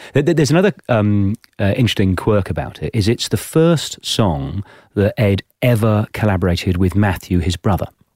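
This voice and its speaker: A man with an English accent talks at a fairly quick pace, his pitch fairly low and his intonation lively. The sound is dry and close, with no echo. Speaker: podcast host. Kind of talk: interview.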